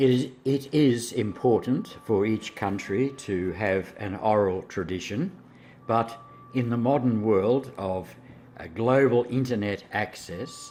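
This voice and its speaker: A man at a very slow pace with ordinary pitch variation. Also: medium pitch for a man. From Australia. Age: 70s. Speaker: English as a second language teacher. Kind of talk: interview.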